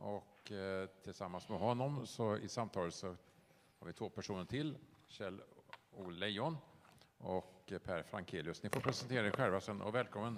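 A man with a fairly low pitch speaks at a moderate pace with ordinary pitch variation and long, frequent pauses. Light background noise is present. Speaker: event program host. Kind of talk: event introduction. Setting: stage with audience. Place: stage.

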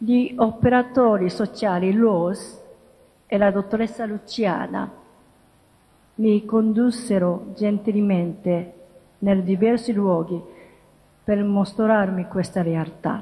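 In a Japanese accent, a woman speaks at a very slow pace with fairly even intonation. She pauses often and at length. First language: Japanese (speaking Italian). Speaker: interfaith dialogue promoter. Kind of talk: lecture. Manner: halting. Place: hall. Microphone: podium.

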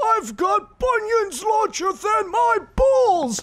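Shouting at a fairly slow pace, a man calls out. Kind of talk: abridged-series comic overacting. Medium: fan dub. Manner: profane, ranting, shouting.

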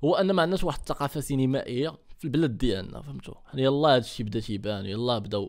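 A man at medium pitch, animated in tone, with lively intonation, a fairly quick pace and hardly any pauses, against a quiet background. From Morocco. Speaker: YouTuber reacting to videos. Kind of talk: reaction video commentary. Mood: mocking, animated. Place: home room. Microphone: studio mic.

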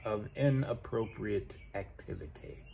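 A man speaks, somewhat breathy, at a very slow pace. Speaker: vlogger. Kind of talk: casual vlog chat. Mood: frustrated, venting. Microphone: phone near.

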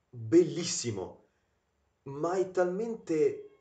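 Audible room echo on a man's voice. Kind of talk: casual film commentary. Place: home room. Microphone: webcam.

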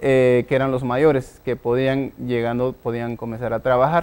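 The speaker is a man with a medium-pitched voice. He talks at a fairly slow pace. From Guatemala, Huehuetenango highlands; Guatemala. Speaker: tech entrepreneur; guest. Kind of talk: interview. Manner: halting, many fillers. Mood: reflective, storytelling. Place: studio. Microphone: lapel.

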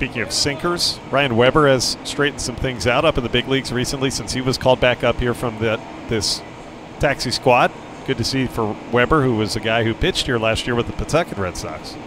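A man's medium-pitched voice, fairly quick and with ordinary pitch variation, over noticeable background noise. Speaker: baseball broadcaster. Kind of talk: live sports commentary, relaxed play-by-play with analysis. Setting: ballpark broadcast, streamed online. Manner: conversational, easygoing.

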